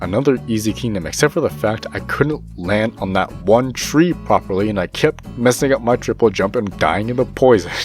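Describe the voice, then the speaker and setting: With music in the background, a man speaks at a moderate pace, his fairly low pitch swinging very widely. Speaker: gaming YouTuber. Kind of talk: gameplay commentary voiceover.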